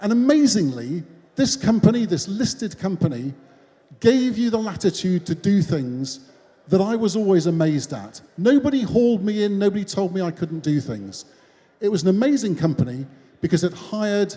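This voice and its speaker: A moderate pace with very wide pitch swings. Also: man. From northern England, Newcastle (Geordie). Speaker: business founder, keynote speaker. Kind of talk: keynote speech. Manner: casual, conversational.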